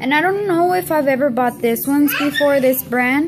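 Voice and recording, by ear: Over faint background noise, a woman talks with ordinary pitch variation.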